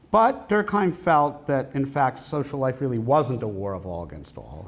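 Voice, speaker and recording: A man talks at a moderate pace with an American accent. His voice is somewhat breathy. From United States. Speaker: professor. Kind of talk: lecture.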